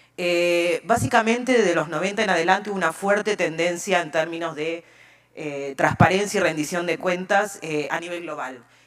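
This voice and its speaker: A fairly low-pitched woman's voice with ordinary pitch variation and big swings in loudness over noticeable background noise. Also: moderate pace. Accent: Argentine. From Argentina. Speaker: open data expert. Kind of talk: conference talk.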